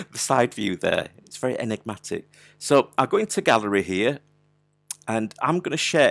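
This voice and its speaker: A man with a Yorkshire accent and medium pitch, very wide pitch swings and big swings in loudness, in dry, close sound with no echo. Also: moderate pace. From Yorkshire, Wakefield. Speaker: digital artist running an online workshop. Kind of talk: live art tutorial. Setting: live online video stream. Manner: casual, chatty with frequent hesitations.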